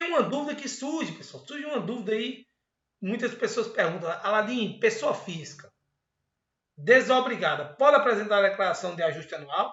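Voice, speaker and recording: A man with a high voice makes very wide pitch swings and big swings in loudness. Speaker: university accounting professor. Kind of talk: online lecture / tutorial. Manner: fast; casual, conversational.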